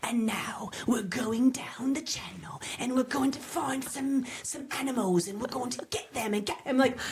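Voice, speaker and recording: A female-sounding voice in a put-on character voice, pitched high and speaking with hardly any pauses over light background noise. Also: moderate pace. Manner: excited, dramatic narration.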